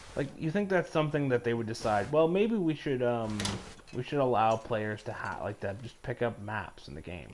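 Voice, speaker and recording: A man talks at a moderate pace and medium pitch, his intonation lively. He has an unremarkable speaking voice. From Canada. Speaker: gaming streamer. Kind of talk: casual chat. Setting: live stream.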